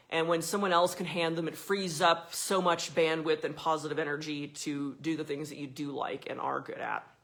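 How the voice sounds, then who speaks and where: Against noticeable background noise, a woman with a very deep, low pitch speaks at a moderate pace with fairly even intonation and hardly any pauses. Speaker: content marketing coach and solo business owner. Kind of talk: talking-head tutorial video. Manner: casual, conversational.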